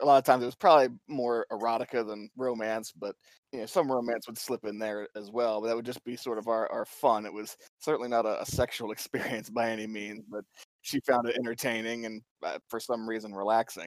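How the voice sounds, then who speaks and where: A man's unremarkable speaking voice with an American accent, medium in pitch, with big swings in loudness and a dry, close sound with no echo. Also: fairly quick pace. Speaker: guest, romance book reviewer. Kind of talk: casual chat, podcast interview.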